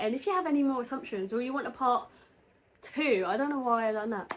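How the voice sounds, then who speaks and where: Here is a woman with a British accent. Her pitch is high. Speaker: YouTuber. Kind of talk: casual chat. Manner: animated.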